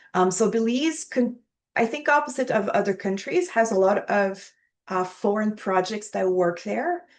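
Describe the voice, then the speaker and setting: A woman speaks in a French accent at a moderate pace, her pitch fairly high. Her intonation is lively and her loudness very even, over a quiet background. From Quebec, Montreal. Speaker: archaeology professor. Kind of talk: interview.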